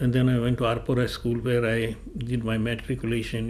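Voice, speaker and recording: With audible room echo, a man of medium pitch speaks at a moderate pace in a somewhat breathy voice. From Goa, India. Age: 80s+. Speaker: oral history interviewee. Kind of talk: oral history testimony.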